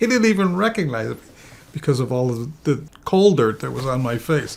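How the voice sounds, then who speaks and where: With lively intonation, a man speaks in an American accent, his voice somewhat breathy. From Nanticoke, Pennsylvania. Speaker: storyteller, former coal mine laborer. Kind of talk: interview answer.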